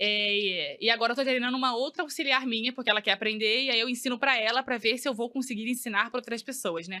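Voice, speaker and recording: A woman speaks at a high pitch with ordinary pitch variation. Her pace is very fast, with hardly any pauses. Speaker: hairdresser, former bank employee. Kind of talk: podcast interview. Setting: studio.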